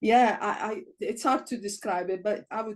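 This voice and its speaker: A woman's medium-pitched voice with an Italian accent and ordinary pitch variation. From Italy. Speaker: Bible college principal. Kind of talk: podcast interview.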